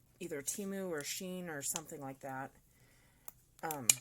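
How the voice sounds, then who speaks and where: An American accent shapes the speech. It has ordinary pitch variation and moves at a moderate pace. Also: woman. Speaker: crafter. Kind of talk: tutorial. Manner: casual.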